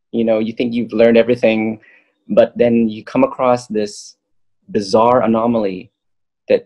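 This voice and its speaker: A man speaks at a moderate pace in a dark, mellow tone with an American accent against a quiet background. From Southern California. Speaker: yogi and spiritual map creator; guest, map creator. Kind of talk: casual chat. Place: home room. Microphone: webcam.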